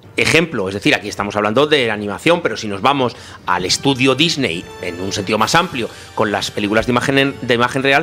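Music plays in the background as a man speaks at a fairly quick pace. His medium-pitched voice carries lively intonation. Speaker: film commentator. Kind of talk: casual film discussion.

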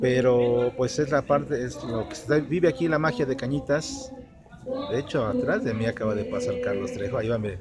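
A man talks at a fairly quick pace. Clear music can be heard behind him. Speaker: vlogger. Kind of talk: casual vlog chat. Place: street. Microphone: phone near.

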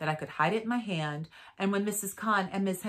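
The reading sounds unforced. Its pitch shifts an ordinary amount.

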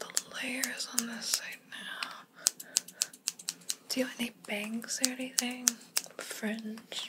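A soft-spoken voice at a very slow pace under loud background noise. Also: woman. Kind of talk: soft-spoken role-play talk to the viewer. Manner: soft, hushed ASMR speaking voice. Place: home room.

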